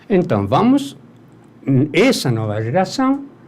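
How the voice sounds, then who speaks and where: A man with an Argentine accent speaks with very wide pitch swings. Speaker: music producer. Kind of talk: interview.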